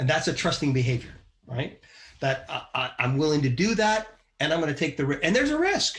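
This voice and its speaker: A man's somewhat breathy, fairly high voice swings very widely in pitch. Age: 60s. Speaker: business leader and podcast co-host. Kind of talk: casual chat.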